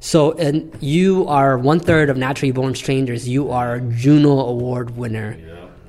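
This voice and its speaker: In an ordinary speaking voice, a man talks at a moderate pace and medium pitch with hardly any pauses. His pitch variation is ordinary, but his loudness swings widely. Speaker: podcast host. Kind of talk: interview.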